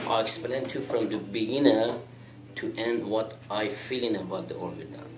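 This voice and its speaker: A man of medium pitch speaks at a fairly slow pace with a Persian accent and ordinary pitch variation. Room echo and noticeable background noise can be heard. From Iran. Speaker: YouTuber. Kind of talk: monologue rant. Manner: heated.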